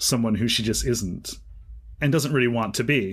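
A man's unremarkable speaking voice at a medium pitch, with fairly even intonation, on a very clean recording with a silent background. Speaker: podcast host, writer and teacher. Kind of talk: casual literary discussion.

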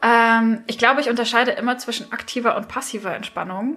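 Over noticeable background noise, a woman talks at a fairly quick pace with a high pitch. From southern Germany, Swabia near Stuttgart. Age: 30s. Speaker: author and copywriter. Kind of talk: casual chat.

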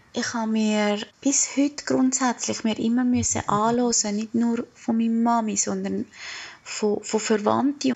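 Delivered at a fairly slow pace, the speech has a monotone, flat intonation. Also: woman. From Colombia, moved to Switzerland at 10. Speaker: travel agent. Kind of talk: personal audio diary.

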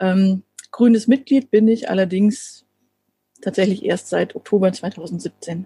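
A woman talks at a very slow pace in a medium pitch, somewhat breathy. Her tone is dark and mellow, and the sound is dry and close with no echo. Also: ordinary pitch variation. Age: 40s. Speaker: city councillor and chemist. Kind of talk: casual interview. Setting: video call.

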